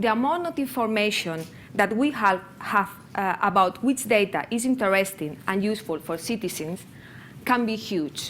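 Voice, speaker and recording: A woman in a Spanish accent talks at medium pitch with lively intonation. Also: moderate pace. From Spain, near Barcelona. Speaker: conference speaker on open data. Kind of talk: conference presentation. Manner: halting.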